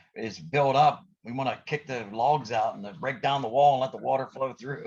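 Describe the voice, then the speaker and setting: A man's medium-pitched voice with vocal fry, a moderate pace, and ordinary pitch variation. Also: big swings in loudness. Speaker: motivational podcast host and coach. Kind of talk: casual podcast chat. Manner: hesitant, many fillers and restarts; energetic, pep-talk style.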